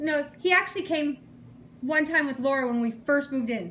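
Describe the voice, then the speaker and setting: Loud and animated, a woman with a high pitch speaks at a moderate pace with ordinary pitch variation. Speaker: caregiver and partner of elderly man. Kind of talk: casual chat.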